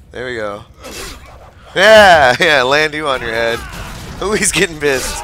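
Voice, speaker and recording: A man talks at a fairly high pitch with lively intonation and big swings in loudness. He leaves long, frequent pauses, with noticeable background noise. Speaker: gamer. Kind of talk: gameplay commentary. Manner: casual, animated.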